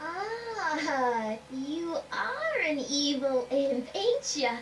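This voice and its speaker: Putting on a character voice, a woman speaks very slowly at a high pitch with very wide pitch swings, over clear background noise. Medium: video game. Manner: brassy, theatrical.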